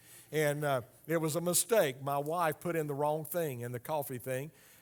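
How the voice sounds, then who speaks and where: With normal rise and fall in pitch and an unremarkable speaking voice, a man delivers his words at an even, middling speed. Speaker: missionary preacher. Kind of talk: church presentation.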